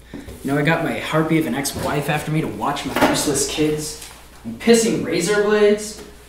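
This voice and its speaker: Over noticeable background noise and audible room echo, a man speaks at a fairly quick pace. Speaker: actor playing a hard-boiled cop. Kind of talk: acted dramatic dialogue. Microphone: camera far.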